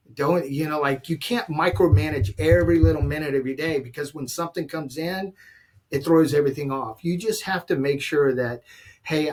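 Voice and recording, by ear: Fairly even intonation runs through speech delivered at a moderate pace. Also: man.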